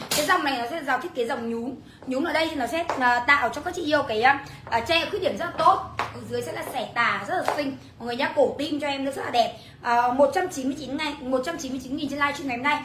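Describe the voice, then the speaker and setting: A woman speaks at a high pitch with ordinary pitch variation. Background noise is noticeable. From Vietnam. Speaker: online clothing seller. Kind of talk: livestream sales pitch. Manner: fast; animated. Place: home room. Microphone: phone near.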